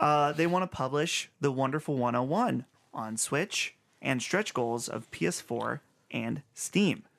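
Against a quiet background, a man with a medium pitch and ordinary pitch variation has an ordinary speaking voice. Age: 20s. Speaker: video game podcast host. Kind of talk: casual chat.

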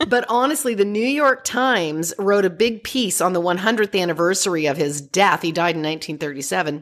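The speaker has a plain, everyday voice with lively intonation. There are hardly any pauses. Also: woman, medium pitch for a woman. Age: 50s. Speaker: parenting expert. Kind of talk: interview.

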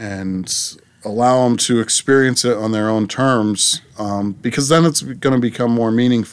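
A man with an American accent speaks in a normal speaking voice with fairly even intonation. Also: medium pitch for a man, moderate pace. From Massachusetts, Plymouth area. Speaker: abstract artist. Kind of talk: interview. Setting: in-person recording.

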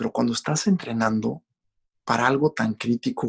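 A man with a Mexican accent speaks at a moderate pace. The sound is dry and close, with no echo. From Mexico. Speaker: Olympic cross-country skier and endurance athlete. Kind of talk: podcast interview.

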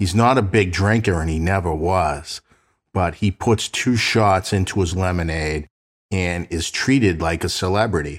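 In an American accent, a man talks at a moderate pace with a very deep, low pitch and ordinary pitch variation. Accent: Boston, slight to moderate. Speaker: true crime podcast host and private investigator. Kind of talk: casual storytelling podcast narration. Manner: conversational, friendly.

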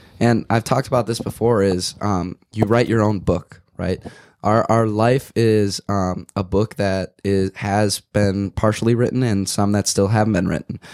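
On a very clean recording with a silent background, a man speaks at a fairly low pitch and a fairly slow pace, with fairly even intonation and a slightly mellow tone.

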